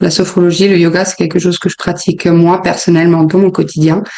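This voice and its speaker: Talking at a fairly quick pace, a woman with a fairly low pitch is heard through noticeable background noise. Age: 30s. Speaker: sophrologist and yoga teacher. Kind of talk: interview. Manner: hesitant, many filler sounds.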